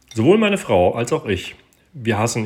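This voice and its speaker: A somewhat breathy man at a fairly slow pace, with ordinary pitch variation. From Berlin. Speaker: listener leaving a voice message. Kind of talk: recorded voice message.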